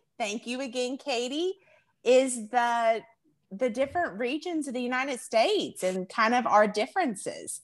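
A woman with a Southern US accent speaks at a moderate pace in a high voice with lively intonation, on a very clean recording with a silent background. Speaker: podcast host. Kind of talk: casual chat.

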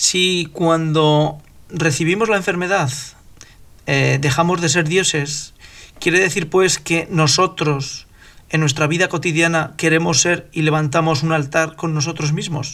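Speaking at a fairly slow pace, a man uses an ordinary speaking voice with a fairly high pitch. His intonation is fairly even and his loudness very even. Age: 50s. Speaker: podcast host. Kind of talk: religious discussion.

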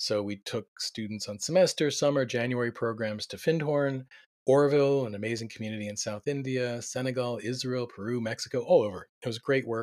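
With an American accent and a normal speaking voice, a man talks at a fairly quick pace and medium pitch, keeping fairly even intonation and hardly any pauses. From US Mid-Atlantic (Delaware suburbs). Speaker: community organization director. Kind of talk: interview.

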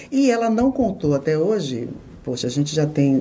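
This woman has a very deep, low voice. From Bahia, Brazil (Itabuna). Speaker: TV journalist. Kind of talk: interview conversation.

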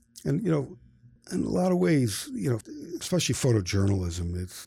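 A man with an American accent speaks in a fairly low, dark, mellow and somewhat breathy voice in a very clean recording with a silent background. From upstate New York. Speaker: photojournalist. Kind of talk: interview.

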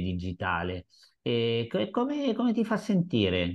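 Lively intonation colors an unremarkable speaking voice that moves at a fairly slow pace. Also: man. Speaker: podcast host and interviewer. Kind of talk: casual interview chat. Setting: video call.

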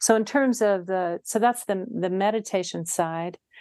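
A woman's medium-pitched, dark, mellow voice in a Western US accent, fairly slow, with ordinary pitch variation and a quiet background. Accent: General American, western US. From Utah. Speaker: mediator and Zen teacher. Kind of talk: interview.

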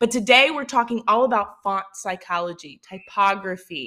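A woman with a Mississippi accent speaks in a bright, sharp tone. Her delivery is animated, with lively intonation. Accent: Southern Mississippi. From US South, Mississippi. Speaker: podcast host, social media marketer. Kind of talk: solo podcast tutorial.

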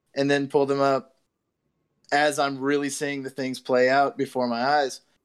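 The speaker has an ordinary speaking voice and a moderate pace. The recording is very clean, with a silent background. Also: man. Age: 20s. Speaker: podcast host. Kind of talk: casual chat.

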